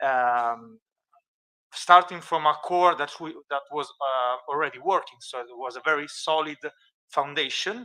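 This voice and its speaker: A man with an Italian accent, fairly high pitch and a bright, sharp tone, at a fairly slow pace, with ordinary pitch variation and big swings in loudness. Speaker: archaeology researcher presenting a project. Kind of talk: conference presentation with live demo. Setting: conference, streamed. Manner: halting, many fillers.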